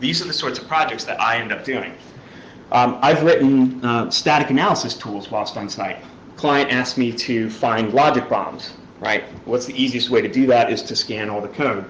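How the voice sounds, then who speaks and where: A man at medium pitch in a strong New York accent, ordinary pitch variation, audible room echo and noticeable background noise. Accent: New York accent, thick. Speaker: security researcher, conference speaker. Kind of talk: conference talk. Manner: fast.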